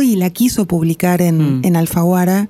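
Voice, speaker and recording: A woman speaks at a fairly slow pace with ordinary pitch variation. Her tone is dark and mellow. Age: 50s. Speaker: novelist and screenwriter. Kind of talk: interview. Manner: halting, with repetitions and fillers.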